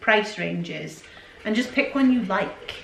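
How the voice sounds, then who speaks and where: Noticeable background noise and audible room echo surround a woman who speaks fairly slowly at a fairly high pitch. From Scotland, raised by English parents. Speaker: YouTuber, stay-at-home mum. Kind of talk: casual Q&A chat. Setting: at home by the Christmas tree.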